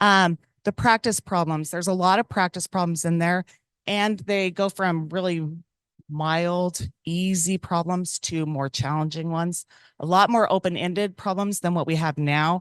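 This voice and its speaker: A woman speaks at a fairly low pitch with fairly even intonation. The sound is dry and close with no echo, over a quiet background. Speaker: teacher. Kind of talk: presentation to school board. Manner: fast.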